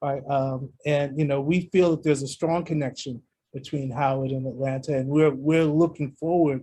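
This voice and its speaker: With an American accent, a man speaks at a moderate pace and fairly high pitch. His dark, mellow tone is somewhat breathy, with fairly even intonation. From New York. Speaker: university athletic director. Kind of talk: radio interview.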